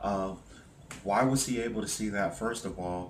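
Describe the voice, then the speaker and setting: A man with a very deep, low pitch speaks with fairly even intonation amid audible room echo and noticeable background noise. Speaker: hypnosis practitioner. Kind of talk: hypnosis session interview. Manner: loud; trying to speak quietly.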